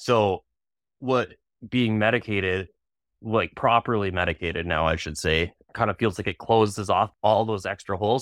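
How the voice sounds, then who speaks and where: A man with a Canadian accent speaks in an ordinary speaking voice, fairly low in pitch, at a moderate pace with ordinary pitch variation. The recording is very clean and dry, close-up with no echo, over a silent background. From Canada, British Columbia (Kelowna). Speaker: tattoo artist. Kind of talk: casual interview.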